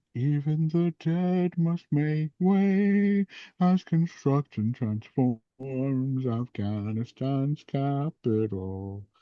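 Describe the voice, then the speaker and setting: In a put-on character voice at low-to-middle pitch, the speaker goes at a very slow pace. There are hardly any pauses. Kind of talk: announcer voice. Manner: grave, solemn.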